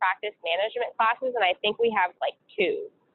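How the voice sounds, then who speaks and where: A woman with an American accent, fairly high pitch, ordinary pitch variation and a moderate pace. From US Pacific Northwest (Seattle, Washington). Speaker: dental student. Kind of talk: interview. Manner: hesitant with frequent fillers.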